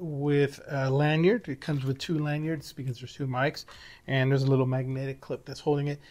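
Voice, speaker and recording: Against a quiet background, a man is talking. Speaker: product reviewer. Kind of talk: review tutorial talk. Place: home room. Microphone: lapel.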